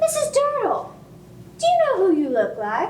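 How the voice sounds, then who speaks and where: A woman does a squeaky, put-on character voice at an extremely high pitch and a moderate pace, with very wide pitch swings, slight echo, and clear background noise. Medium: stage play. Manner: gossipy, neighborly.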